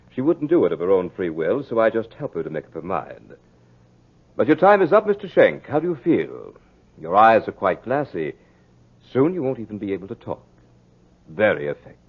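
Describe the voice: Using a put-on character voice, a man speaks at a moderate pace with fairly low pitch, big pitch swings, a slightly husky edge and long, frequent pauses.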